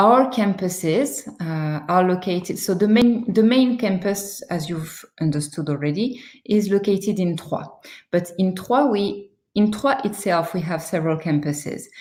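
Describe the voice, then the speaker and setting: Speaking at a fairly slow pace, a woman of medium pitch uses lively intonation. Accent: French. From France. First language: French. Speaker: university recruitment manager. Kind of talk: webinar presentation. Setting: online webinar with screen sharing. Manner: hesitant, many fillers.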